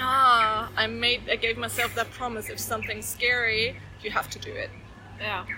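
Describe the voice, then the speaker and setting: A German accent with big swings in loudness and noticeable background noise. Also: woman, moderate pace. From Germany. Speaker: coach, former lawyer. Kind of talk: interview. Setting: Bali. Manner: hesitant, many fillers.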